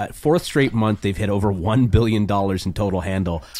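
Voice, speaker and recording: A man speaks with a Canadian accent in a normal speaking voice. His pitch is fairly low and his pace fairly quick. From Canada. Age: 40s. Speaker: podcast host. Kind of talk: casual chat.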